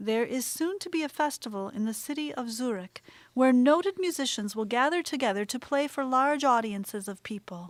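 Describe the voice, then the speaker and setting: A woman speaks in an ordinary speaking voice at a moderate pace with lively intonation. The recording is very clean, with a silent background. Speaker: audiobook narrator. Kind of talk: audiobook narration of a children's composer biography.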